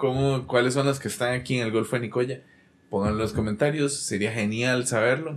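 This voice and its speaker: A man talks with a Costa Rican accent. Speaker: podcast host. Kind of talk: casual chat; reading aloud.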